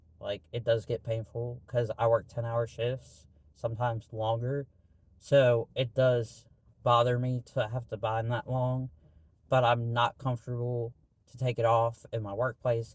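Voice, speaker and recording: Somewhat breathy and at a medium pitch, a man speaks at a fairly slow pace with monotone, flat intonation. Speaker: vlogger. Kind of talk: casual vlog monologue. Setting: in a parked car. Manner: hesitant, filler-heavy.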